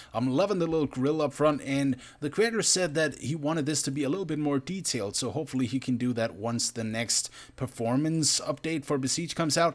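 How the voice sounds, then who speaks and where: A fairly high-pitched man with a non-native accent talks at a fairly quick pace. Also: ordinary pitch variation. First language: not English. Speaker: gaming youtuber. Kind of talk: gameplay commentary. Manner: animated.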